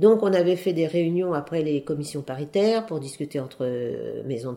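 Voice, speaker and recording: A woman speaks at a fairly quick pace in a very deep, low voice with a dark, mellow tone and very wide pitch swings. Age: 80s+. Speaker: retired couture seamstress and union activist. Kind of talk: interview. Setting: at home in her apartment.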